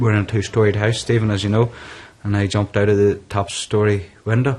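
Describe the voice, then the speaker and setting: A man with a fairly low voice speaks at a fairly quick pace in a Northern Irish accent, his loudness very even, his delivery somewhat breathy and his intonation monotone and flat. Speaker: businessman living with depression. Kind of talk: interview testimony.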